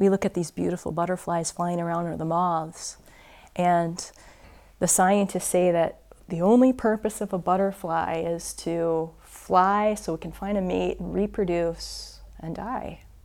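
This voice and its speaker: A woman with an ordinary speaking voice talks at a fairly slow pace in a fairly low pitch, her intonation fairly even, on a very clean recording with a silent background. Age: 40s. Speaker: yoga teacher and Zen practitioner. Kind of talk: dharma talk.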